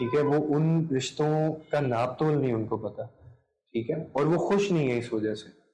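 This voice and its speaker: In a normal speaking voice, a man talks at a fairly high pitch with ordinary pitch variation. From Pakistan. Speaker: content creator, radio broadcaster, voice-over artist. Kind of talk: interview answer.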